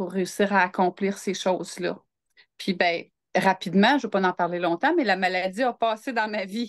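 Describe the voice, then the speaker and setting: A woman speaks at a fairly slow pace with ordinary pitch variation. The sound is dry and close with no echo, over a quiet background. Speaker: entrepreneur and interview guest. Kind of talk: casual interview. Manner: calm, grounded.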